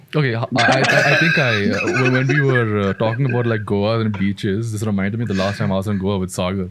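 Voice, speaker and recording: Amid noticeable background noise, a man with a fairly low pitch talks at a very fast pace with ordinary pitch variation. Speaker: podcast co-host. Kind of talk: casual chat. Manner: soft-spoken. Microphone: too far from the mic at first.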